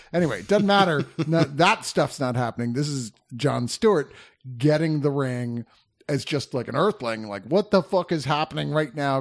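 Speaking in an unremarkable speaking voice, a man talks at a moderate pace with lively intonation and fairly high pitch. The background is quiet. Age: 50s. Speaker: film reviewer podcast host. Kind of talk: casual chat.

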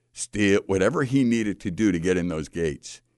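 Against a quiet background, a man with a very deep, low pitch speaks at a moderate pace with ordinary pitch variation. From US Midwest, Chicago. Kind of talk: radio interview. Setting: radio studio, live broadcast.

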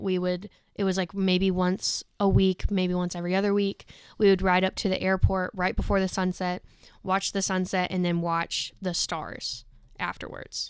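A woman's medium-pitched voice in a North Carolina accent, monotone and flat at a moderate pace, on a very clean recording with a silent background. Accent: Southern US, North Carolina. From rural North Carolina. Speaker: recent graduate, former tour guide. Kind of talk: casual chat.

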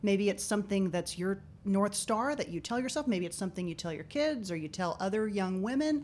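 A woman's unremarkable speaking voice at a medium pitch, fairly quick pace and lively intonation, with hardly any pauses. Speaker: podcast host. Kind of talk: interview.

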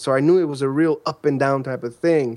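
Speaking at a fairly quick pace, a man with a normal speaking voice and an American accent uses a fairly high pitch and ordinary pitch variation in a very clean recording with a silent background. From Chicago, Illinois. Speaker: online entrepreneur. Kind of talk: interview conversation.

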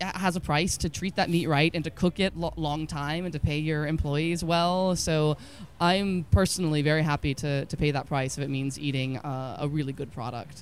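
In an American accent, a woman with a very deep, low pitch speaks at a moderate pace with ordinary pitch variation, on a very clean recording with a silent background. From Texas. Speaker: cookbook author. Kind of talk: casual interview.

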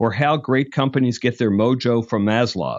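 A man's medium-pitched, an ordinary speaking voice, with fairly even intonation at a moderate pace. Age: 60s. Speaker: podcast host and executive search founder. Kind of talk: scripted introduction; interview conversation.

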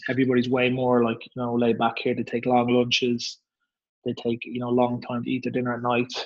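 A man in an Irish accent at a very fast pace, in a monotone, flat intonation. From Ireland. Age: 30s. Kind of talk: casual interview.

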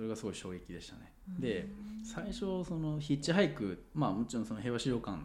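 At a very fast pace and a fairly high pitch, a man speaks with very wide pitch swings and big swings in loudness, with audible room echo. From Japan, Sendai (Miyagi). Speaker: engineer. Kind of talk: casual interview chat.

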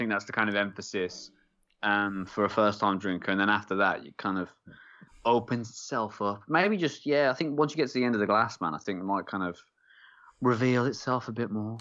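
Speaking at a fairly quick pace, a man with an English accent uses a fairly low pitch and ordinary pitch variation. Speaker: podcast host. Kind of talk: casual banter, beer review. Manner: joking, rambling.

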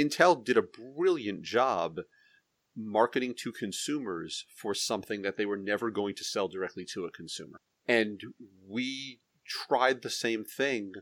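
A man with an unremarkable speaking voice at a medium pitch talks at a fairly slow pace with lively intonation, on a very clean recording with a silent background. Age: middle-aged. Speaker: hop grower and podcast host. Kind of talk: casual chat. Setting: home basement studio.

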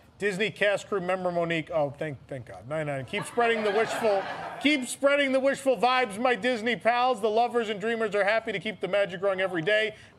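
Fairly quick, lively speech with hardly any pauses, set against noticeable background noise. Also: man, high pitch for a man. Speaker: podcast host. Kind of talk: live comedy show banter. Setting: live show with audience.

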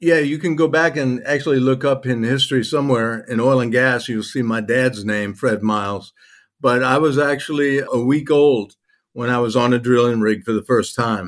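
A man with an American accent, medium pitch, ordinary pitch variation and a moderate pace. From Louisiana, US (Cajun). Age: 60s. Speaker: oil and gas industry veteran. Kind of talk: casual interview chat. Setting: remote call from Turkey.

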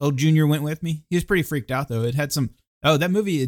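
A normal speaking voice with an American accent moves at a fairly quick pace with ordinary pitch variation, the sound dry and close with no echo. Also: man. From California. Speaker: quiz contestant. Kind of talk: casual chat.

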